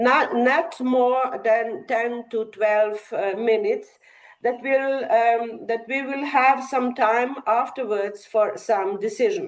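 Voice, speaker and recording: Very slow speech comes from a woman with a Slovenian accent, her pitch high and varying in an ordinary way. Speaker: academic session chair. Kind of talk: conference presentation. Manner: halting, many fillers.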